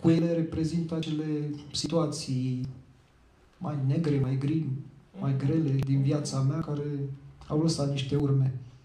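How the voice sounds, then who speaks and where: In a room with audible echo and light background noise, a man speaks at a fairly high pitch in a monotone, flat way, with long, frequent pauses. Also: fairly slow pace. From Teleorman, southern Romania (Muntenia); Teleorman, Romania. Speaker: poet and journalist; poet, journalist. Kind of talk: interview. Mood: reflective, personal. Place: hall. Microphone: handheld.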